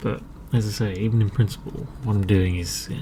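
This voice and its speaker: Over noticeable background noise, a man speaks at a fairly low pitch with an English accent. His tone is calm, his intonation lively and his pace fairly slow. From England. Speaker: artist. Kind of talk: ASMR talk while drawing. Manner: soft-spoken, calm.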